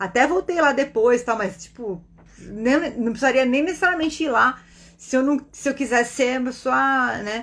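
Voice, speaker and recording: The tone is animated, with ordinary pitch variation. Delivery comes at a moderate pace. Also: woman, high pitch for a woman. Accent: Brazilian. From Brazil. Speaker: spiritist online teacher and meditation guide. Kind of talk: casual teaching talk on a livestream.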